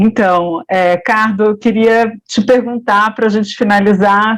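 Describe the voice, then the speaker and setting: Fairly even intonation accompanies speech delivered at a fairly slow pace. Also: woman. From Brazil, Paraná (Ponta Grossa). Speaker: interviewer. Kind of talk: interview. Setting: web radio.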